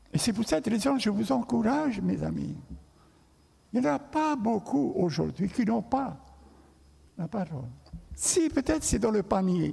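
With a high pitch and very wide pitch swings, a man speaks at a fairly slow pace, leaving long, frequent pauses. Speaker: pastor. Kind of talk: sermon.

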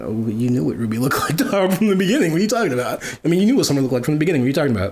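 The speech comes at a very fast pace with very wide swings in pitch. Audible room echo and noticeable background noise accompany it. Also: man, fairly high pitch for a man. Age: 20s. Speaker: podcast host. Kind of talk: casual chat. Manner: animated.

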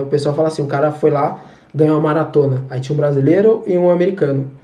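This man's voice sits fairly high and moves at a fairly quick pace. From Brazil, São Paulo. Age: 20s. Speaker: ethical hacker. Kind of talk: casual chat. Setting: video call.

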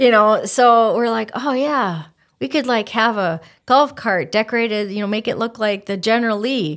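Speaking at a moderate pace with an Upper Midwest accent, a woman with a fairly high voice shows ordinary pitch variation in a very clean recording with a silent background. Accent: Upper Midwest (Minnesota). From Minnesota (Stillwater). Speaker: chamber of commerce president. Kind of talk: casual interview.

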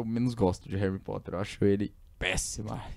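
A man's dark, mellow voice moves along fairly quickly. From São Paulo state interior, Brazil. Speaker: podcast host. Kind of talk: casual chat. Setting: studio.

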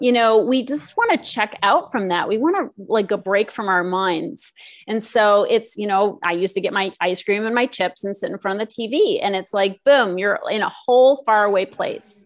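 A woman with an ordinary speaking voice talks at a moderate pace and a fairly high pitch, with ordinary pitch variation and hardly any pauses. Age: 50s. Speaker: emotional eating coach. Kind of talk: interview.

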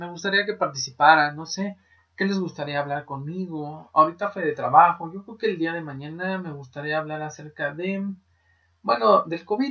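A man speaks with a Mexican accent. His pitch sits fairly high. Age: 20s. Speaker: podcast host. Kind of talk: casual monologue.

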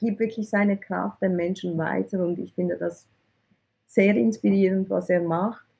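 Somewhat breathy speech from a woman, medium in pitch and fairly even in intonation. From Switzerland (from Iran, arrived at age eight). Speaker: IT recruiter, entrepreneur. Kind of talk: interview.

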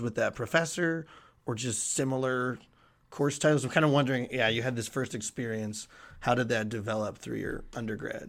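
A plain, everyday voice in a very clean recording with a silent background. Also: man. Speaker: podcast co-host, graduate student. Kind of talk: interview.

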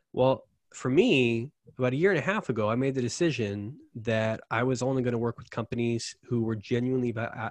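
A man speaks at a fairly quick pace in a plain, everyday voice, his pitch medium with ordinary variation. The sound is dry and close with no echo over a quiet background. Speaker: conversion copywriter. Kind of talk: casual interview chat. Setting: video call.

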